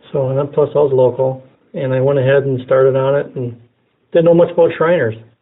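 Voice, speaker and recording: Speaking at a fairly quick pace with an American accent, this man has a plain, everyday voice. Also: fairly high pitch for a man, fairly even intonation. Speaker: freemason, vehicle graphics designer. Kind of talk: interview.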